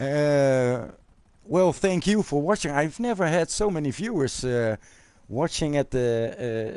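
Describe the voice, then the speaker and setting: Speaking at a very slow pace with a Dutch accent, a man with a fairly high pitch keeps his loudness very even and his intonation lively. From Netherlands. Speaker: gaming YouTuber. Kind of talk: live stream chat. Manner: halting, many fillers.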